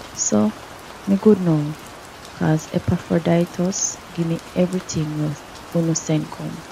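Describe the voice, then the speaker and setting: Soft-spoken and fairly low in pitch, a woman talks at a fairly slow pace with ordinary pitch variation over noticeable background noise. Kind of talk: scripture reading. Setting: rain background. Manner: soft-spoken, relaxing.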